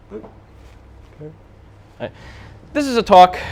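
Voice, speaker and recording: A man with a New Jersey accent. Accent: New Jersey American English. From US, New Jersey. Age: 30s. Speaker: game modder and conference speaker. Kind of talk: conference talk. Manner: many fillers like uh and um.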